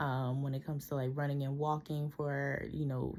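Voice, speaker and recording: This woman's voice is very deep and low, with a dark, mellow tone. She talks at a fairly quick pace in a flat monotone. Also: very clean recording, silent background. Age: 20s. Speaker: student. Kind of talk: personal video report. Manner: hesitant, many fillers.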